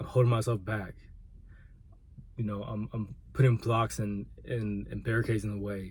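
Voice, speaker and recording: At a moderate pace, a man speaks in a fairly low, somewhat breathy, monotone voice with long, frequent pauses. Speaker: vlogger and aspiring musician. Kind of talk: personal vlog monologue. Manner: halting, repeats words.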